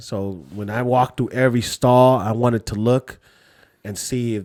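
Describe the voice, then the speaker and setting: A man with an American accent and an ordinary speaking voice, medium pitch, fairly even intonation, and a moderate pace, in a dry, close sound with no echo. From California, Lao American. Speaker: podcast host. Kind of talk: casual chat.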